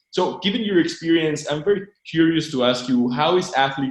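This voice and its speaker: A man talks in an ordinary speaking voice at a moderate pace. His intonation is lively. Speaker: podcast host. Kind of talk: podcast intro and interview questions.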